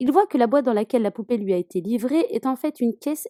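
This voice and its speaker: With a high pitch and a dark, mellow tone, a woman speaks using lively intonation. The recording sounds dry and close, with no echo. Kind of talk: horror film summary narration.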